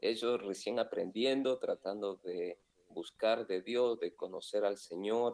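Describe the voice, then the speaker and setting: The man talks at a very slow pace, and the sound is dry and close with no echo. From Argentina. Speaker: pastor. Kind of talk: interview.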